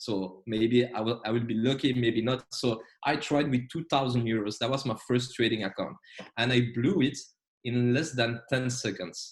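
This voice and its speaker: Somewhat breathy, a man in a French accent talks at a moderate pace with a medium pitch and fairly even intonation. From Belgium, French-speaking. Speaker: trading educator. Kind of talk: online trading lecture. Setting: video call. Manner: hesitant, many fillers.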